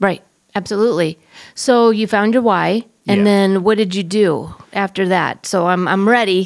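Having an ordinary speaking voice, a woman speaks at a moderate pace and medium pitch, with very even loudness and fairly even intonation. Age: 50s. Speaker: podcast host. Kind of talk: casual chat. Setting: studio.

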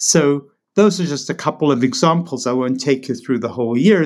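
In a South African accent, a man talks at a moderate pace with medium pitch and ordinary pitch variation. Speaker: psychiatrist and author. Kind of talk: interview discussing his book.

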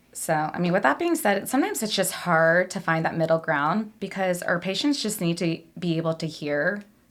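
In a plain, everyday voice, a woman speaks fairly quickly with fairly even intonation on a very clean recording with a silent background. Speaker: eating recovery dietitian. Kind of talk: interview discussion.

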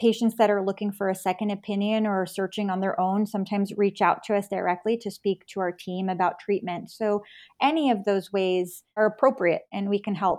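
A woman with an American accent talks at a fairly quick pace in an ordinary speaking voice, her medium pitch and fairly even intonation set against a quiet background. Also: hardly any pauses. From New York. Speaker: neuro-oncologist. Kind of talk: interview.

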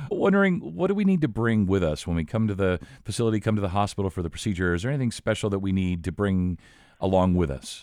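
A man talks at a very fast pace in a fairly low pitch, with ordinary pitch variation. The recording is very clean, with a silent background. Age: 50s. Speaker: podcast host. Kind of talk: interview.

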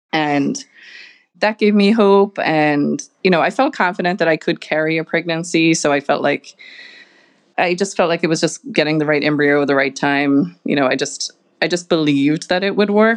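In an Irish accent, a woman with a fairly low pitch talks at a moderate pace, her loudness very even and her pitch varying in an ordinary way. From Ireland. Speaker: breast cancer survivor and fertility patient. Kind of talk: personal testimony interview.

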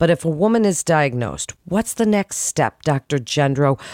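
On a very clean recording with a silent background and a dry, close sound with no echo, a woman with a plain, everyday voice speaks at a fairly low pitch with lively intonation. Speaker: podcast host. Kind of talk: interview.

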